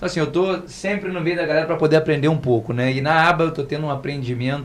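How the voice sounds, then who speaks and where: The speaker is a man. He goes at a very fast pace with hardly any pauses. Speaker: lawyer. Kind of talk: podcast panel discussion.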